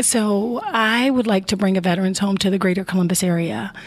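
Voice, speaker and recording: A woman with an American accent uses a normal speaking voice at a medium pitch with ordinary pitch variation. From Chicago, Illinois. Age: 50s. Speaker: Navy veteran and veterans advocate. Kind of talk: interview.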